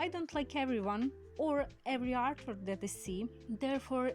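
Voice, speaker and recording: With music in the background, a woman speaks in a high pitch with a non-native accent. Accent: non-native English, insecure. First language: not English. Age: 20s. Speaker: artist and video creator. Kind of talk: personal motivational talk.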